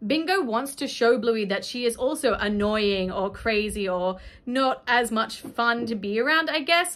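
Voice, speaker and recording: With hardly any pauses, a woman talks at a fairly slow pace in a fairly high, animated voice full of lively intonation. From Australia. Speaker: YouTuber reviewing a kids' cartoon. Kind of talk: casual vlog commentary. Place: home room.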